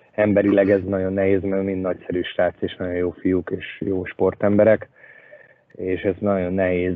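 A man speaks at a moderate pace in a very deep, low, monotone voice with flat intonation. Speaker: ice hockey head coach. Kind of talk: casual interview chat.

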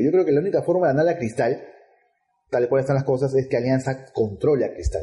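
A man's somewhat breathy, dark, mellow voice with ordinary pitch variation. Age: 30s. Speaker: football podcast co-host. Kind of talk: casual chat.

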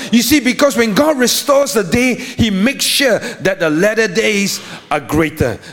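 Over noticeable background noise, a man with a high-pitched voice speaks in an animated tone. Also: lively intonation, moderate pace, very even loudness. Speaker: pastor. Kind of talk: sermon. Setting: live church service. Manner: animated, call-and-response preaching with rhetorical questions.

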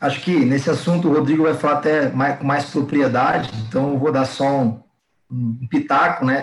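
A man speaks at a moderate pace in a fairly high, somewhat breathy voice, his loudness staying very even. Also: fairly even intonation. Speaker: fitness coach. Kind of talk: casual interview chat.

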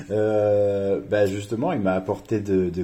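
Against a quiet background, a man speaks in a fairly low, somewhat breathy voice with a dark, mellow tone. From France, Reims. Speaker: student. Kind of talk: casual interview.

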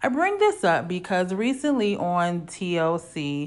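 A woman speaks in an animated tone with ordinary pitch variation. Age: 30s. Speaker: podcast host. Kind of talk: solo casual monologue.

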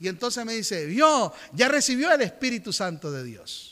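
Here a man uses a raised, projected voice with a high pitch. His tone is bright and sharp. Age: 50s. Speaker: pastor. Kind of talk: sermon. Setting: church.

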